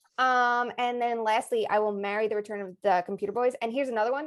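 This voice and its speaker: In a strong Long Island accent, a woman speaks at a fairly high pitch with ordinary pitch variation. The recording is very clean, with a silent background. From Long Island, New York. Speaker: hockey podcast co-host. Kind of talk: casual chat.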